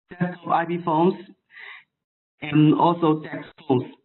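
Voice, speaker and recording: A man speaks with a non-native accent at a fairly slow pace. His pitch is high. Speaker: phone maker technical support engineer. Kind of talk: webinar product presentation. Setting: online webinar from overseas. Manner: halting, many fillers.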